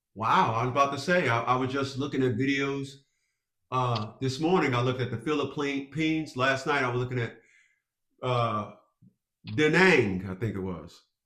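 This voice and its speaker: A man with an American accent speaks at a moderate pace, with medium pitch and ordinary pitch variation. Long, frequent pauses break up his speech. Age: 60s. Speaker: family court consultant and army veteran. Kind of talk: consultation call.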